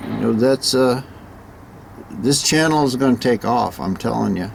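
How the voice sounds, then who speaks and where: A man speaks with ordinary variation in pitch while noticeable background noise is heard. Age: 70s. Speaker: classic car restorer and vlogger. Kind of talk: casual vlog talk. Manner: halting, many fillers and repeats.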